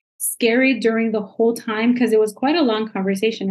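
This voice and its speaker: Speaking with a Spanish accent, a woman uses a fairly high pitch and fairly even intonation. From Nicaragua. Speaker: parenting coach. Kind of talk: interview. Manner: uses many filler sounds.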